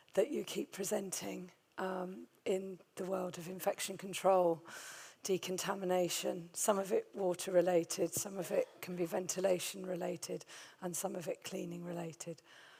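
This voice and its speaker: With vocal fry, a woman speaks at a medium pitch and a moderate pace. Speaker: infection control director. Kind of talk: conference talk. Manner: halting.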